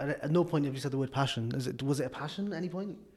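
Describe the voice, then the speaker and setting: A man at a very fast pace, somewhat breathy, with ordinary pitch variation. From Wales. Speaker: podcast host. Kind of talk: casual interview chat.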